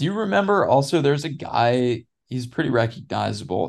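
A man talks in a normal speaking voice at a medium pitch and a moderate pace. His intonation is lively, and the background is quiet. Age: 20s. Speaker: cyclist and business student. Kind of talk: casual chat.

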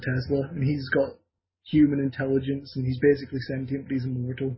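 A man talks with an English accent at a fairly high pitch. His voice is somewhat breathy and his pace fairly quick. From Scotland. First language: Scottish Gaelic. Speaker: podcast co-host. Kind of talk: casual chat.

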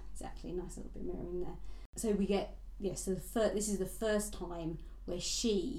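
This is plain reading aloud. The text is read out directly.

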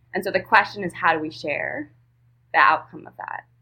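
A woman with an American accent talks at a fairly quick pace in a fairly low pitch, with vocal fry. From rural Vermont, US. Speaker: podcast guest, economics commentator. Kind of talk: casual interview chat. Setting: remote call with audio issues.

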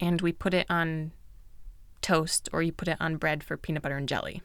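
At a moderate pace, a woman speaks with a fairly low pitch in a very clean recording with a silent background. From United States. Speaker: food podcast host. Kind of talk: casual solo podcast talk.

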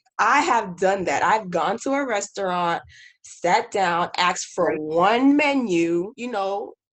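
A woman with a normal speaking voice and an American accent talks at a fairly slow pace and medium pitch over a quiet background. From Haiti, then US from age five. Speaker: army officer. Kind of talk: casual chat.

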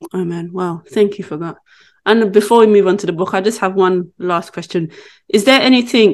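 Fairly quick delivery in a plain, everyday voice, its pitch varying in an ordinary way. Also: woman, medium pitch for a woman. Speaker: podcast host. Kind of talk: casual interview chat.

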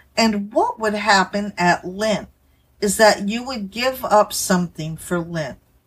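Somewhat breathy, a woman speaks at a medium pitch and a fairly slow pace with ordinary pitch variation. The recording is very clean, with a silent background. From Louisiana. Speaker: podcast host. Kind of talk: religious commentary podcast.

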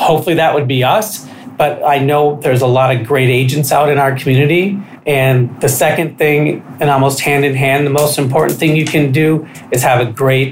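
Over background music, a man with a fairly high pitch talks at a moderate pace, his intonation fairly even and his loudness very even. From Minnesota, Stillwater. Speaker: real estate broker. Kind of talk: casual interview. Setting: studio.

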